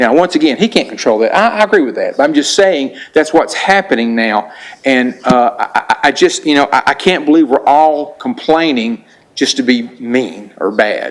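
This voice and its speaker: With noticeable noise behind him, a man speaks in a fairly high voice that swings very widely in pitch. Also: moderate pace. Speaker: resident speaking at public hearing. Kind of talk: public comment at board hearing. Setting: public meeting. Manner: halting, repeats words.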